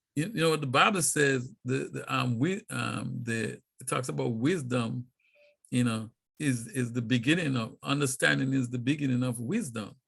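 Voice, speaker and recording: A man with a medium-pitched voice speaks with vocal fry. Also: ordinary pitch variation, moderate pace. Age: 50s. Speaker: poet, author and talk show host. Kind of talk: casual chat.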